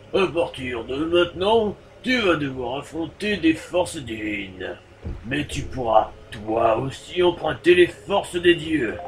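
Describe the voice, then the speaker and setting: Over clear background noise, a man performs a put-on character voice, gravelly and fairly high in pitch, at a fairly slow pace. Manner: rock, gravelly.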